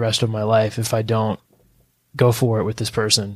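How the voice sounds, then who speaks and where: The speaker is a man with an American accent and a medium pitch, talking at a moderate pace. The recording is very clean, with a silent background. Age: 20s. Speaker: podcast host. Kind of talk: casual interview.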